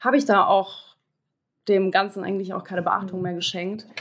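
Her medium-pitched voice marks a woman speaking with fairly even intonation. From Hamburg, northern Germany. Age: 20s. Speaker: cancer survivor. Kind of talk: interview testimony.

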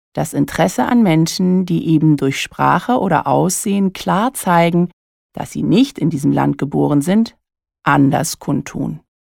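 A woman speaks at a fairly slow pace with a very deep, low voice. The sound is dry and close with no echo, a very clean recording over a silent background. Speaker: coach and podcast host. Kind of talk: solo monologue podcast.

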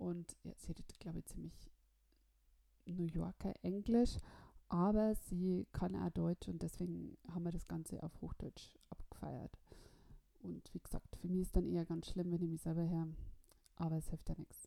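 The speaker is a woman at a moderate pace. Her pauses are long and frequent. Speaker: podcast host. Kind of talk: scripted narration; casual chat. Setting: Skype call. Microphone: Skype and voice recorder, technical problems.

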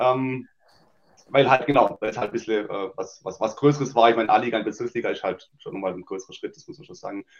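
The man's loudness rises and falls in big swings. He speaks very fast. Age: 30s. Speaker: amateur football captain. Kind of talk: casual interview.

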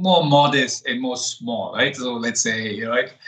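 At a fairly slow pace, a man with a medium pitch speaks in a bright, sharp tone and fairly even intonation. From Germany, Darmstadt, Italian family. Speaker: startup founder and CEO. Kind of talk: interview.

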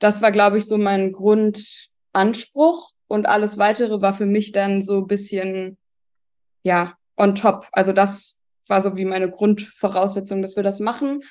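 A woman with a plain, everyday voice talks at a fairly slow pace and a medium pitch, her intonation fairly even. The background is quiet. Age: 30s. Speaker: expectant mother. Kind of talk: casual chat.

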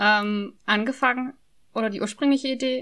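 A woman's bright, sharp tone over a quiet background. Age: 20s. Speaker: podcaster. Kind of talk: casual chat.

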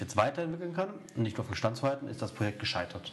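The background noise is noticeable. The speaker is a man. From Erzgebirge, Saxony. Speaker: football podcast host. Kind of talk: casual chat.

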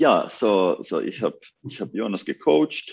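This man speaks with a Finnish accent. His pace is very slow. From Finland. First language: Finnish (speaking German). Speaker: basketball coach. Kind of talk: interview. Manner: halting.

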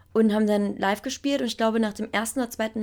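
The pace is very fast. The tone is animated throughout. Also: woman. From Berlin, Germany. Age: 20s. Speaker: singer. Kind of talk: interview.

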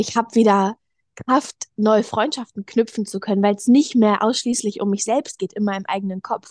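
A woman with an ordinary speaking voice and a fairly high pitch talks at a moderate pace with fairly even intonation, the sound dry and close with no echo against a quiet background. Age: young. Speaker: eating disorder recovery guest, yoga teacher. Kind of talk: personal interview, testimony.

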